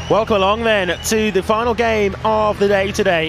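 There is noticeable background noise in this clip. The man speaking has a high pitch. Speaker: football commentator. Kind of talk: sports commentary. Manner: excitable, rising play-by-play build-up; measured, gracious wrap-up narration.

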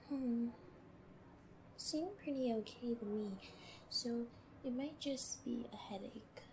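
Amid noticeable background noise, a woman with a high pitch and a playful, gentle tone speaks at a very slow pace with long, frequent pauses and ordinary pitch variation.

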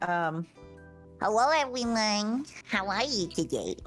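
A put-on character voice with a fairly high pitch speaks at a very slow pace over faint background music. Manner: high, sweet, cutesy.

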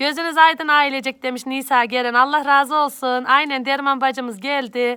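Her voice is raised and projected, high-pitched, with a bright, sharp tone and fairly even intonation. The woman keeps a moderate pace with hardly any pauses. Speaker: YouTube vlogger. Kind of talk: live stream greeting viewers. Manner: loud.

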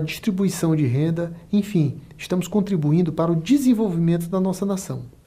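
A man's high-pitched voice in a dark, mellow tone over a quiet background. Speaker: business consultant and online course instructor. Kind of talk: motivational pep talk, sales-style pitch. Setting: studio, video recording. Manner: upbeat, persuasive, energetic; direct, addresses viewer.

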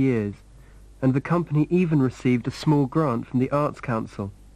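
A man speaks in an ordinary speaking voice, fairly high, with ordinary pitch variation. His pace is moderate, over a quiet background. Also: very even loudness. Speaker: narrator. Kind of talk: documentary narration.

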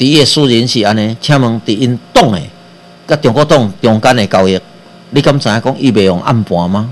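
Speaking at an even, medium speed, a man lets his pitch vary in an ordinary way. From Taiwan. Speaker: radio host and physician; radio host. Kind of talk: political commentary monologue. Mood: critical, animated. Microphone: webcam.

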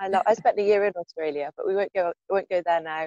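A woman talks at a very fast pace in a British accent. The background is quiet. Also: dry sound with no echo. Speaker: podcast host and coach; podcast host, coach. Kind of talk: interview. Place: garden. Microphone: earbuds.

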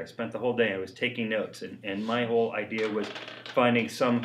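Fairly quick speech from a man, with light background noise behind it. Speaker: interviewee. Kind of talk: interview answer. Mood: reflective, light laughter. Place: workshop.

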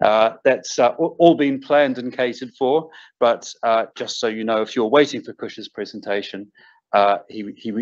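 A man with a New Zealand accent, medium pitch, ordinary pitch variation and a moderate pace. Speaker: arbitration lawyer. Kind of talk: welcome address.

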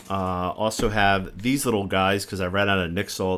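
Here a man talks in an ordinary speaking voice. His pitch is fairly low and his pace moderate. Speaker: co-host. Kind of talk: casual show chat. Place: home room.

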